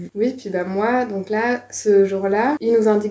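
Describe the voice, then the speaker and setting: Noticeable background noise behind a woman talking at a moderate pace, her medium pitch showing ordinary variation. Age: 20s. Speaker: former exchange student. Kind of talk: casual interview testimony.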